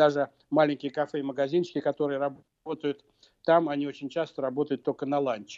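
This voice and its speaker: A man's fairly high-pitched voice, fairly quick in pace and monotone and flat in intonation, with a dry, close sound, no echo and a quiet background. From Russia, Moscow. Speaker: political scientist and professor. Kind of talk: radio interview. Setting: remote link to radio studio.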